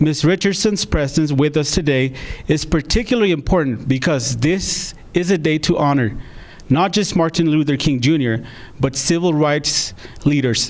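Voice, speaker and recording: A man speaks in an unremarkable speaking voice, fairly high in pitch, with ordinary pitch variation. His loudness stays very even at a moderate pace. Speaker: theater partnerships and project manager. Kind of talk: live-streamed event hosting.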